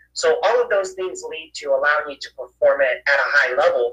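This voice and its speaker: A man talks at a moderate pace. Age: 40s. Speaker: real estate entrepreneur and mentor. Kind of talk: casual interview. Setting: live stream.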